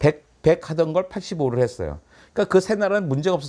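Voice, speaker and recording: On a very clean recording with a silent background, a man with a dark, mellow tone talks very fast with lively intonation. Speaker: science author. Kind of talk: conversational interview. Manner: animated.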